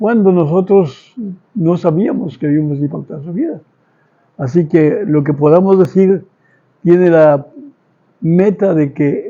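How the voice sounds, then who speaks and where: Pitched high, a man uses ordinary pitch variation. His pace is fairly slow. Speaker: guest, father of host. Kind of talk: interview.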